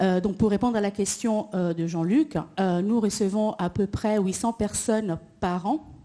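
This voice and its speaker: With an Italian accent, a woman talks at a fairly slow pace in a dark, mellow tone, at medium pitch with ordinary pitch variation. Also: quiet background. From Italy. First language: Italian (speaking French). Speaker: employment advisor at a cross-border workers association. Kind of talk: panel discussion.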